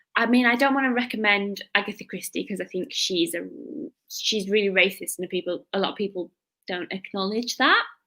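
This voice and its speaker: With a Cumbrian accent, the speaker talks at a fairly quick pace in a bright, sharp tone with ordinary pitch variation. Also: woman, medium pitch for a woman. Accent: northern English (Cumbrian). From northern England, Lake District. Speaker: book youtuber. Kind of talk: casual chat.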